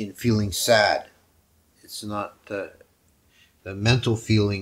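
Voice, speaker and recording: A man with a fairly low pitch sounds somewhat breathy and keeps his intonation fairly even. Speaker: monk teacher. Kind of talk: sermon. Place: home room. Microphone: headset.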